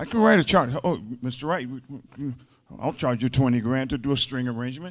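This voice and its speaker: A man with an American accent talks at a very fast pace. His pitch is medium, with ordinary variation. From US South, Mississippi (Greenville). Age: 70s. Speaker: songwriter and arranger. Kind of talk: panel discussion.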